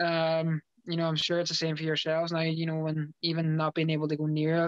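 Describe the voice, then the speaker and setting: A man with a Derry accent talks at a fairly quick pace and a fairly high pitch. The sound is dry with no echo, over a quiet background. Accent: Northern Irish (Derry). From Northern Ireland, Derry. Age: 20s. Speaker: professional footballer. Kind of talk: interview. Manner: halting. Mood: relaxed, sincere. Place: home room. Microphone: video call.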